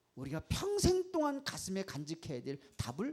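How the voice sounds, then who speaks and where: A man's animated tone at a moderate pace. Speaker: pastor. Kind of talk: sermon. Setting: church service. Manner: animated, rhetorical questions to audience.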